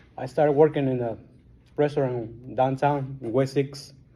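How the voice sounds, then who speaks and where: A man with a strong Guatemalan accent talks at a moderate pace in monotone, flat intonation. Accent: thick Guatemalan Spanish. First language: Spanish. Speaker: recovering alcoholic. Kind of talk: testimony. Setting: support group meeting.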